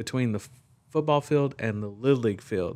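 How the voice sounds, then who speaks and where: A man with an American accent and an unremarkable speaking voice, on a very clean recording with a silent background. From Texas, small farming town. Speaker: father, guest. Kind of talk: casual interview chat. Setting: in-person recording in same room.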